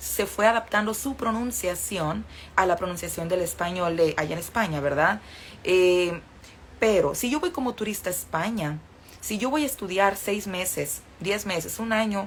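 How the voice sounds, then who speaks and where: This woman speaks in a northern Mexican accent at a moderate pace. Her medium-pitched voice is somewhat breathy, with ordinary pitch variation. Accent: northern Mexican, sing-song. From northern Mexico. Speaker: Spanish teacher. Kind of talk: livestream lesson.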